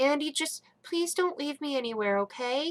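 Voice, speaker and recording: This is a put-on character voice pitched high. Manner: pleading, anxious.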